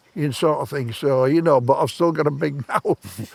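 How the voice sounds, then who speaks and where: Noticeable background noise sits behind the voice. The pace is moderate, with ordinary pitch variation. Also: man. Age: 70s. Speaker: retired stranger interviewed on a park bench. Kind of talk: casual chat.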